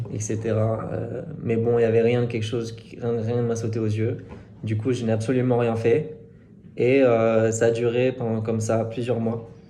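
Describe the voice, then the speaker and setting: Medium pitch from a man, monotone, flat intonation, a moderate pace and audible room echo. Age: 30s. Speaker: tinnitus sufferer giving testimony. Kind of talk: testimony. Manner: halting, many hesitations.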